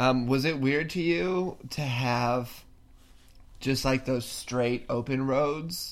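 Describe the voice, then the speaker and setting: With an American accent, a man speaks at a very slow pace, with a medium pitch and ordinary pitch variation. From California, near Yosemite. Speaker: podcast host. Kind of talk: casual chat.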